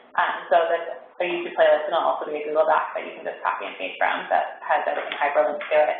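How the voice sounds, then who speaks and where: The speech comes at a very fast pace. Audible room echo and noticeable background noise fill the recording. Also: woman. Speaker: school technology coach. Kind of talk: staff training presentation. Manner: casual, filler-heavy.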